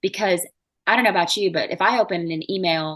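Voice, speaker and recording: Against a quiet background, a woman with a Southern US accent speaks fairly quickly at a fairly low pitch. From US South. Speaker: marketing expert. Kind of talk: podcast interview. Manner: fast; animated.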